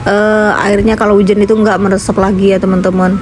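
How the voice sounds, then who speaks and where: A woman speaks in a room with audible echo. Noticeable background noise is also present. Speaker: vlogger and housewife. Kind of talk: voiceover vlog narration. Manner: casual, chatty; hesitant fillers.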